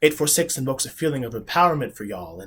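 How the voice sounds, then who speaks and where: Somewhat breathy, a man with an American accent and a fairly high pitch talks at a fairly quick pace with ordinary pitch variation in a very clean recording with a silent background. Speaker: spoken word poet. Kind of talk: spoken word poetry performance.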